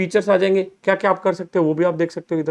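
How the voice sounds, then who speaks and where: The man's tone is animated. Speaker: finance educator, chartered accountant. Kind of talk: recorded lecture, software tutorial. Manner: animated, conversational Hinglish.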